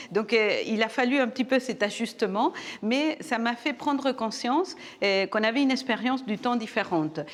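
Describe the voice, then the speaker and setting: In a Uruguayan accent, a woman talks at a high pitch with ordinary pitch variation and very even loudness. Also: moderate pace. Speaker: professor. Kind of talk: TV interview.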